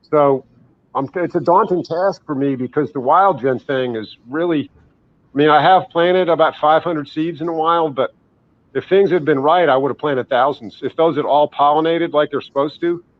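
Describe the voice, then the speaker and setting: At a moderate pace, a man talks in a normal speaking voice. His pitch is fairly high, with ordinary variation. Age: 60s. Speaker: herbalist and ginseng grower. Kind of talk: interview. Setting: live online interview.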